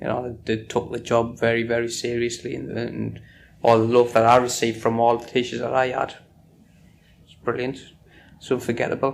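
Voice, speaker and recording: In a northeast English accent, a man speaks fairly quickly at a medium pitch with monotone, flat intonation. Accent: north-east English. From northern England, Sunderland. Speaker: oral history interviewee. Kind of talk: oral history interview.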